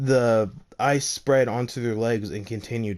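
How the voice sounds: With fairly even intonation, the delivery is a natural reading voice.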